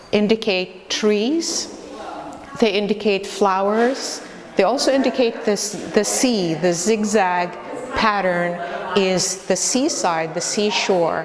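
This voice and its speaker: Amid noticeable background noise and audible room echo, a woman with an Arabic accent speaks at a very slow pace at a medium pitch, with ordinary pitch variation and very even loudness. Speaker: immigrant artist presenting a panel. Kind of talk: short presentation.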